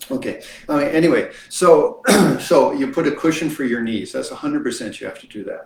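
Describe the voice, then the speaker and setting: A man with a Canadian accent at a fairly quick pace, big swings in loudness and audible room echo. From Canada. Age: 70s. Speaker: Buddhist teacher. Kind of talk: lecture. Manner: halting.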